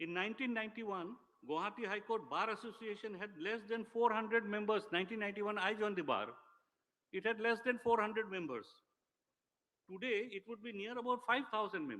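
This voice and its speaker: With a raised, projected voice, a man speaks at a very fast pace in a high pitch, his tone bright and sharp, with ordinary pitch variation. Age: 60s. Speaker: senior lawyer. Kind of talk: ceremonial speech. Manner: formal.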